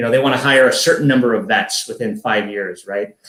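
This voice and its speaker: In an American accent, a man speaks at a very fast pace. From US Midwest, Chicago. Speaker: army veteran. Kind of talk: podcast interview.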